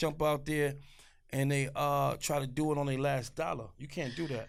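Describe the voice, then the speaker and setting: Audible room echo surrounds a man with an American accent. His fairly high-pitched voice keeps a fairly even intonation. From New York, Brooklyn. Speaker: actor and rapper. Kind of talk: casual interview chat.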